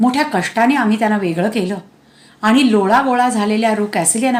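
The words are read out plainly. It is plain reading aloud.

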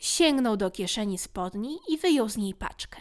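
A woman talks at a fairly slow pace in an animated tone with very wide pitch swings, on a very clean recording with a silent background. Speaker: audiobook narrator. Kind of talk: bedtime story reading aloud. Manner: animated, changes voices for characters.

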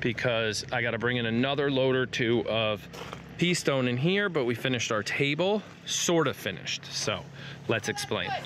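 Speaking at a fairly slow pace, a man with medium pitch uses lively intonation over clear background noise.

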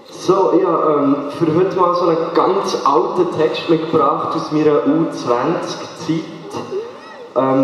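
A man talks at a very slow pace in a high pitch, with fairly even intonation. Strong room echo and light background noise surround him. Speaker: slam poet. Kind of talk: casual talk to audience. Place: stage.

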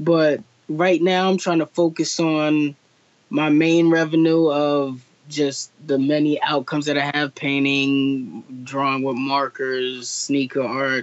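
A man with an American accent speaks at a fairly high pitch and a very slow pace. His intonation is fairly even and his loudness very even. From New Jersey. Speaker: artist. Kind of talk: interview. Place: home room. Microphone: video call.

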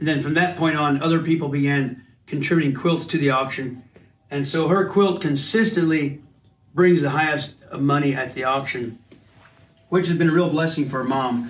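The voice, a man's, is somewhat breathy. He talks at a moderate speed. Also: ordinary pitch variation. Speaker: family member showing his mother's quilting. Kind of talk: casual talk to camera. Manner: warm, fond. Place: home room. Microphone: phone near.

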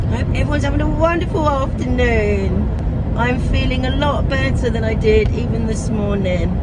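A woman talks at a moderate pace while loud background noise plays beneath her. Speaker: vlogger. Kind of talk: casual vlog chat. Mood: upbeat, recovering from flu. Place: car. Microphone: phone near.

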